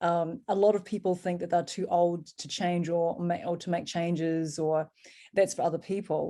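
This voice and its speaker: An unremarkable speaking voice from a woman, fairly low in pitch, moderate pace, fairly even intonation. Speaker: fitness channel host. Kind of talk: interview questions.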